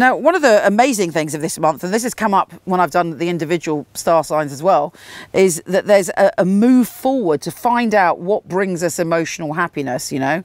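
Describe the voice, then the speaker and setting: Dry and close with no echo, a woman's fairly low voice moves with lively intonation. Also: fairly quick pace. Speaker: tarot reader and astrologer. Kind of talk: tarot reading monologue. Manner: fast.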